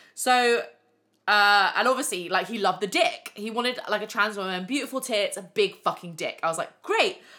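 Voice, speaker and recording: A woman with a British accent speaks at a fairly high pitch in a bright, sharp tone, with hardly any pauses. The recording is very clean, with a silent background. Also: ordinary pitch variation, moderate pace. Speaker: podcast host, former stripper. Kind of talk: casual monologue. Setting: home living room.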